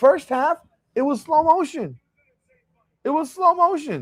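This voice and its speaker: A man talks loudly. His pace is moderate. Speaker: sports livestream host. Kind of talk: casual livestream commentary. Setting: hotel room livestream. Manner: animated.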